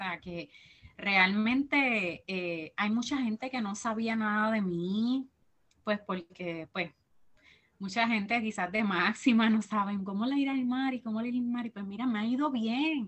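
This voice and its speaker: Speaking fairly slowly with a Puerto Rican accent, a woman uses a fairly high pitch with ordinary pitch variation. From Puerto Rico. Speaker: teacher and church minister. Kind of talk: testimony interview.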